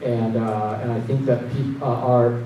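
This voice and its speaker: A man with a Portuguese accent speaks at a moderate pace. Noticeable background noise and audible room echo come through. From Brazil (Paraná, São Paulo), moved to US at 12. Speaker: tech executive. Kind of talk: conference talk. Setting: stage with audience.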